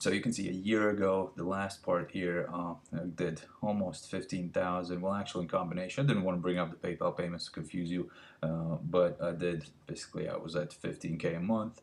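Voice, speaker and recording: A man with a non-native accent talks at a fairly quick pace. His very deep, low voice keeps fairly even intonation. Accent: foreign. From Latvia. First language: not English (fourth language). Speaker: filmmaker and business coach. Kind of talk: webinar presentation. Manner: halting, many fillers.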